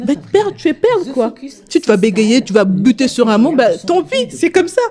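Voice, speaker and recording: High-pitched for a woman, her voice swings very widely in pitch. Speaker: co-host of a women's talk show. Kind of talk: casual talk show chat. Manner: fast.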